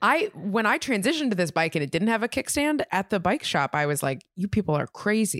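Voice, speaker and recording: A woman with an American accent talks at a fairly quick pace in a medium pitch, her voice making very wide pitch swings at a very even loudness, recorded dry and close with no echo on a very clean track with a silent background. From Minnesota, US Midwest. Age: 20s. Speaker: comedian. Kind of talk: casual chat. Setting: home recording on a couch.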